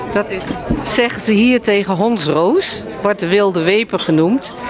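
A woman speaks at a fairly slow pace in a dry recording with no echo but noticeable background noise. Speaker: book author. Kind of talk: interview answer. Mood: friendly, relaxed. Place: hall. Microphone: handheld.

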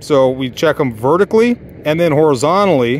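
The man's voice has ordinary pitch variation and a dry sound with no echo. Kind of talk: tutorial. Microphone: phone near.

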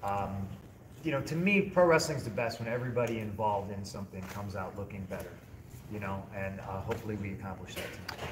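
Against noticeable background noise, a man talks at a very fast pace in a fairly low voice with ordinary pitch variation. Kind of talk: interview answer. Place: hall. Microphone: handheld.

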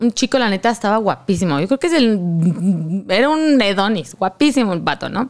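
A woman with a Mexican accent, medium pitch and very wide pitch swings, very even loudness, a moderate pace with hardly any pauses, and a quiet background. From Mexico. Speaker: content creator. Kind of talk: casual chat. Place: studio. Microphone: studio mic.

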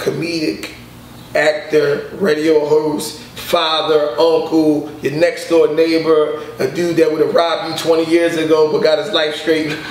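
A fairly high-pitched man talks very slowly in a monotone, flat delivery. Audible room echo surrounds his voice. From Philadelphia, US. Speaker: comedian. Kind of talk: casual interview. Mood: relaxed, joking. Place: home room.

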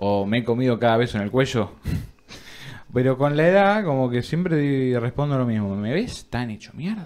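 The speaker keeps a moderate pace and uses lively intonation. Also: man. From Argentina. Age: 20s. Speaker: podcast co-host, university student; podcast co-host. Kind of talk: casual chat. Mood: joking, relaxed. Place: studio. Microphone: studio mic.

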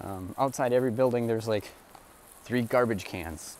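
Recorded dry with no echo over light background noise, a man with an American accent speaks at a moderate pace with ordinary pitch variation. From United States. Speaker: vlogger. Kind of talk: casual vlog narration. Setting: outdoors, walking around town. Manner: halting, many fillers and repeats. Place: street. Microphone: earbuds.

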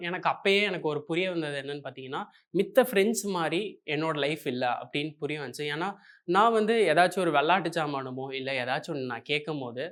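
This man has a normal speaking voice, fairly high in pitch with ordinary pitch variation, recorded very cleanly against a silent background. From Coimbatore, Tamil Nadu. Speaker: software engineer and YouTuber. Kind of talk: motivational talk.

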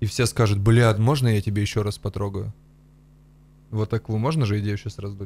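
At a fairly quick pace with long, frequent pauses, a man speaks in a somewhat breathy, fairly low voice with fairly even intonation. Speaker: comedy podcast co-host. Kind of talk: casual chat. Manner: crude, profanity-heavy. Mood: relaxed, joking, swearing. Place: studio. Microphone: studio mic.

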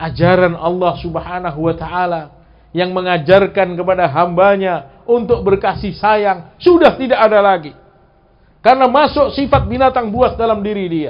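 A man's high-pitched voice at a moderate pace. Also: ordinary pitch variation. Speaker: preacher. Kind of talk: sermon. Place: home room. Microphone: headset.

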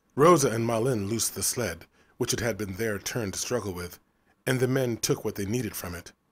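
The pitch shifts in a normal way as the speaker reads aloud in a natural voice.

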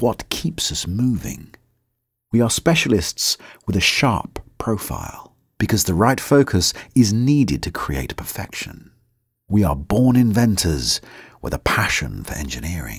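A man talks in a British accent at a fairly low pitch. Vocal fry runs through his voice. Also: fairly slow pace. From United Kingdom. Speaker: voice actor. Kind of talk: corporate narration.

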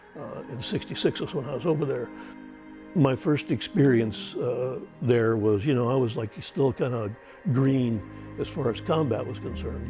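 Clear music plays in the background as a man with a medium pitch speaks at a moderate pace. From United States. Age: 70s. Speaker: Vietnam war veteran. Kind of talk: interview answer. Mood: reflective, recounting trauma. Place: home room. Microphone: lapel.

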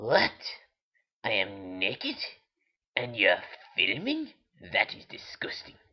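A cartoonish character voice, raspy, moves at a fairly slow pace. Long, frequent pauses break it up. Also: man. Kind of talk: comic puppet voice. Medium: puppet show. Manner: indignant, haughty, easily scandalised; petulant, teasing.

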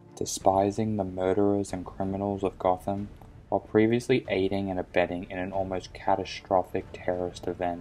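Over background music, a man with a very deep, low pitch talks at a fairly quick pace in a monotone, flat intonation. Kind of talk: video essay narration.

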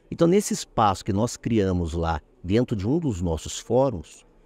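A man's dark, mellow voice makes very wide pitch swings, recorded dry with no echo. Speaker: judge. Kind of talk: interview. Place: hall. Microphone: handheld.

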